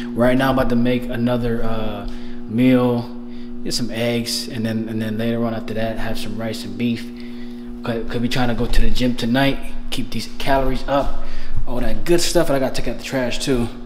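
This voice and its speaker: Someone speaks at a moderate pace in a flat, monotone delivery while music plays in the background. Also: man. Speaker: vlogger. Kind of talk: casual vlog chat. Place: home room. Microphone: phone near.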